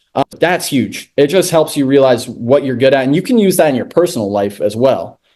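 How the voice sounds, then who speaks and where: A man's dark, mellow tone, with lively intonation at a fairly quick pace and hardly any pauses. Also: fairly high pitch for a man. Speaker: real estate investor and wholesaler. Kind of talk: webinar presentation. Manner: loud.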